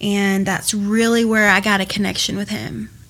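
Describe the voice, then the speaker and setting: Someone speaks with a Southern US accent at a fairly slow pace in a monotone, flat intonation, with noticeable background noise behind. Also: woman. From US South, Georgia. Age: 20s. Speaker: recovering addict. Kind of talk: testimony.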